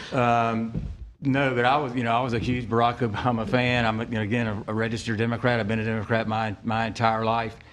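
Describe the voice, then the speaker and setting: In a flat monotone, a man speaks very fast at a medium pitch, with audible room echo. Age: 60s. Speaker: school superintendent, candidate. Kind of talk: candidate forum debate.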